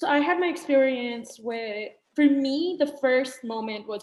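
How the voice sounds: A woman with a non-native accent speaks with fairly even intonation, with audible room echo. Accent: foreign.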